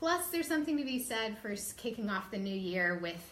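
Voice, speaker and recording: Noticeable background noise and audible room echo are present in the recording. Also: woman. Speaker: live show host. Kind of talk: casual live stream talk. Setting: Facebook live video. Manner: filler-heavy, many ums.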